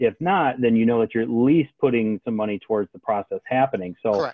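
An American-accented man at a fairly quick pace, a normal speaking voice of medium pitch with ordinary pitch variation. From Michigan. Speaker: card collector. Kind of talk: casual chat.

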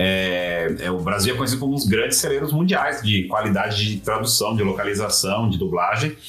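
A speaker with a Brazilian accent talks at a fairly quick pace with lively intonation and very even loudness. Noticeable background noise and audible room echo surround the voice. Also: man, fairly low pitch for a man. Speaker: games industry communications professional. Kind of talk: casual interview. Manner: hesitant, many filler sounds.

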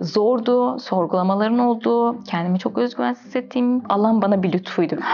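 A woman speaks at a moderate pace and a fairly high pitch, her intonation lively and her loudness very even. Noticeable background noise sits behind her. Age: 20s. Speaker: graduate student. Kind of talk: interview.

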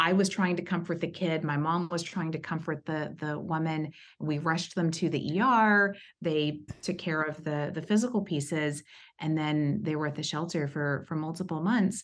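A woman with an American accent speaks in a plain, everyday voice, fairly low in pitch with ordinary variation. Her pace is moderate, and the background is quiet. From East Texas, US. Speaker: HR executive. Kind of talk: interview, personal story.

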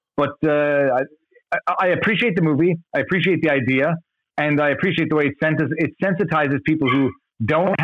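A man talks at a fairly quick pace with a fairly high pitch. His intonation is fairly even, and he has a plain, everyday voice. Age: 40s. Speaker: YouTuber who makes videos about law. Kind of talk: casual chat.

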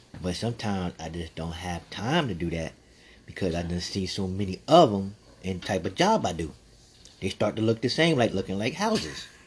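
A man's very deep, low, somewhat breathy voice with an American accent, ordinary pitch variation and a fairly quick pace. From Texas. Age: 50s. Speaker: podcast host. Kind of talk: casual monologue. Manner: halting.

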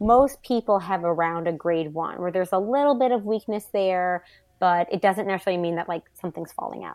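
In a plain, everyday voice, a woman speaks at medium pitch and a fairly quick pace with ordinary pitch variation, the sound dry and close with no echo against a quiet background. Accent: American. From US South, New Orleans. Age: 40s. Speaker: pelvic floor physical therapist. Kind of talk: casual interview.

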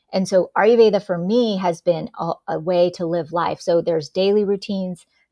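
A woman speaks at medium pitch and a moderate pace. Hers is a plain, everyday voice. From US, born in India. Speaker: executive coach and author. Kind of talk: podcast interview.

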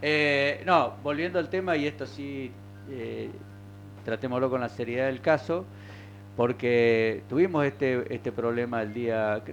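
A man with an unremarkable speaking voice and medium pitch talks at a fairly slow pace with lively intonation. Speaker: local radio host. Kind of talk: casual talk radio.

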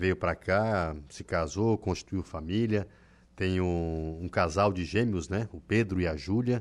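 Very deep, low-pitched male voice with ordinary pitch variation against a quiet background. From southern Brazil, Santa Catarina. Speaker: radio journalist and host. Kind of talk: casual radio chat. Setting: radio studio.

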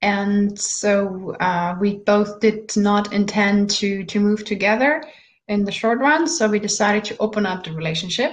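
A woman speaks with a German accent at a medium pitch. Her pace is fairly slow and her voice somewhat breathy. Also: ordinary pitch variation. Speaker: life coach. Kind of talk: interview.

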